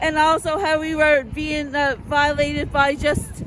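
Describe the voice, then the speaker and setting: Loud and high-pitched, a woman speaks at a fairly slow pace amid noticeable background noise. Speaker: rally speaker. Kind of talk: speech at a rally.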